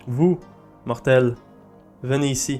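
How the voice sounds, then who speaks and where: Over faint background music, a man puts on a hoarse, raspy character voice at medium pitch. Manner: commanding, demanding.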